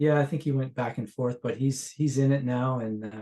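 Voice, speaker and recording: In a Canadian accent, a man speaks at a medium pitch. His tone is dark and mellow. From Ontario, Canada. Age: 60s. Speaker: session guitarist. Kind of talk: casual interview chat.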